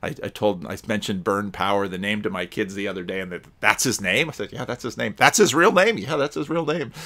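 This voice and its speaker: A man's fairly low-pitched voice at a very fast pace with hardly any pauses, bright, sharp tone and lively intonation. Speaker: pastor. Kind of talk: commentary. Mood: reflective, conversational. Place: home room. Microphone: webcam.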